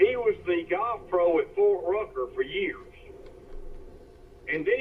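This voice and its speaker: Noticeable background noise sits behind a man speaking with a Southern US accent. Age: 60s. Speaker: amateur golfer. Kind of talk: casual chat.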